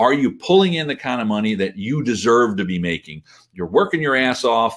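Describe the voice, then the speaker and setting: In an animated tone, a man talks at a fairly quick pace, his pitch swinging very widely. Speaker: business coach. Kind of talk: webinar sales pitch. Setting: live webinar. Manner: fast.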